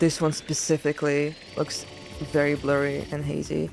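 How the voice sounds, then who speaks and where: With music in the background, a woman speaks in a non-native accent at a moderate pace. Her pitch is very deep and low, with monotone, flat intonation. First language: not English. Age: 20s. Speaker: gaming video creator. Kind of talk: game commentary. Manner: casual, filler-heavy.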